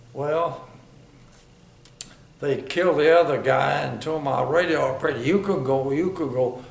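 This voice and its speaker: At a moderate pace, a man with fairly high pitch and fairly even intonation speaks over noticeable background noise. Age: 80s+. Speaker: war veteran. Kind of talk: interview answer.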